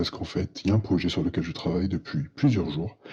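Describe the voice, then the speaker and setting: A soft-spoken man, very deep and low in pitch, somewhat breathy, lively intonation, fairly quick pace. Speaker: accountant vlogger. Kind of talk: personal vlog monologue.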